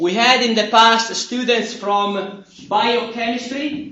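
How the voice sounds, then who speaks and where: Loud and at an extremely high pitch, a man talks with ordinary pitch variation amid noticeable background noise and audible room echo. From Italy. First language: Italian. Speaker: university professor. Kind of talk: lecture. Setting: classroom.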